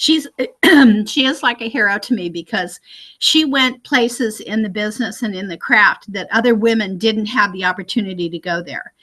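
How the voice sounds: A woman is speaking with ordinary pitch variation. Her tone is bright and sharp. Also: medium pitch for a woman, moderate pace.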